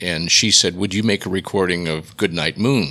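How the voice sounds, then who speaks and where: Here a man talks with an American accent and a bright, sharp tone. His pitch varies in an ordinary way. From Massachusetts. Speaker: radio executive and audiobook narrator. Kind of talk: interview.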